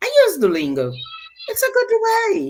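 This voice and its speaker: Speaking at a fairly slow pace, a woman talks with a Portuguese accent. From Brazil. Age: 50s. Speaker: guest speaker. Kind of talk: interview. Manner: halting.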